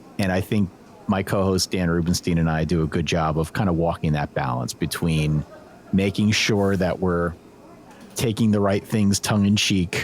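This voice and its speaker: A man with an American accent and a very deep, low pitch speaks at a moderate pace with ordinary pitch variation. His loudness stays very even over noticeable background noise. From Pennsylvania, US. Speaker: college football podcaster. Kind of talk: interview conversation. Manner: casual, conversational.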